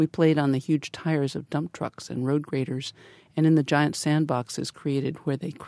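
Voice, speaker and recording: A woman speaks with a very deep, low pitch and a dark, mellow tone. Her intonation is fairly even, and the recording is very clean with a silent background. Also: dry, close sound with no echo. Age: 60s. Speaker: retired engineer. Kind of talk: reading aloud.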